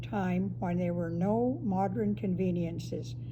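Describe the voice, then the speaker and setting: A woman with a western Canadian accent speaks fairly slowly in a very deep, low pitch with very wide pitch swings, over noticeable background noise. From northern Alberta, Canada (Fort Vermilion). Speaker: Métis elder. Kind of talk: prepared personal statement.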